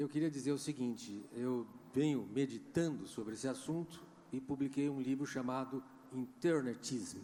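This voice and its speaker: Fairly even in intonation, a man speaks in a dark, mellow tone at medium pitch. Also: moderate pace. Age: 70s. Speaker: audience member, author. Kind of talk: question from the floor at a panel debate.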